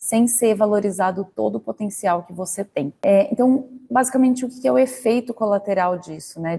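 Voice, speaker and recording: Somewhat breathy and dark, mellow in tone, a woman speaks at a medium pitch. Her intonation is lively and her pace moderate. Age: 30s. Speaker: corporate career coach, marketing manager. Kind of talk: online lecture. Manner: conversational, direct address with rhetorical questions.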